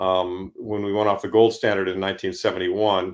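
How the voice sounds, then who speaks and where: A man with a Midwestern accent speaks in a flat monotone at a fairly low pitch and a moderate pace against a quiet background. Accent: General American (Midwest). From US Midwest (Ann Arbor, Michigan). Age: 60s. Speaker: fund manager and investor. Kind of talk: podcast interview. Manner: halting, many fillers.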